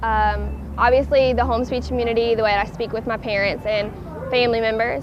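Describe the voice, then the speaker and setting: Talking at a fairly quick pace with a strong Southern US accent, a woman is heard amid audible room echo and noticeable background noise. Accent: thick Southern US. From US South. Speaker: college student, interviewee. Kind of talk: interview answers. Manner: hesitant, many fillers.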